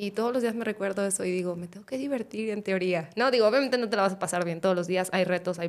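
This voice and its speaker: A woman speaks at a medium pitch with ordinary pitch variation in a plain, everyday voice. The recording is very clean, with a silent background. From Guadalajara, Mexico. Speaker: startup CEO. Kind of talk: casual chat.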